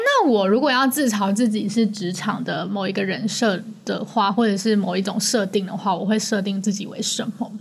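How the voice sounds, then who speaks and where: Over noticeable background noise, a woman with a Taiwanese accent talks at a fairly quick pace in a medium pitch. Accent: Taiwanese Mandarin. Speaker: podcast co-host. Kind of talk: casual chat.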